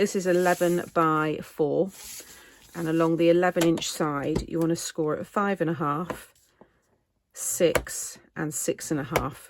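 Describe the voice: A woman with a low pitch speaks at a fairly slow pace and with fairly even intonation.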